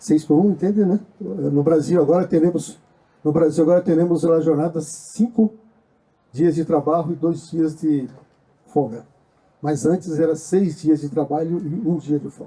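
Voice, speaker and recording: Pausing long and often, a man with a fairly high pitch talks at moderate speed, his pitch varying an ordinary amount. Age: 60s. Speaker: social movement activist. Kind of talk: panel discussion. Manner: halting.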